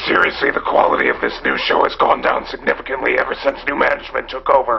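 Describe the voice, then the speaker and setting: Over clear background noise, a man talks at a very fast pace in a put-on character voice. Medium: comedy sketch. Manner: gruff, terse.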